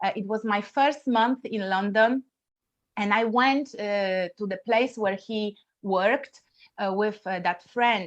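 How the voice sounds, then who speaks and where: A woman with a Polish accent speaks fairly slowly at a fairly high pitch, with ordinary pitch variation. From Poland. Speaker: wellness coach. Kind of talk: interview. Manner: hesitant, many fillers.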